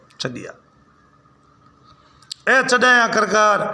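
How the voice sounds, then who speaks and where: Noticeable noise fills the background. A man talks over it. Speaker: folk storyteller. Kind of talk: folk tale narration.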